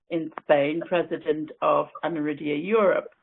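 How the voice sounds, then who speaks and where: A woman with an Irish accent speaks at a fairly slow pace. Her pitch is very deep and low. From Ireland. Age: 60s. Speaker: webinar speaker with an eye condition. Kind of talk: personal talk.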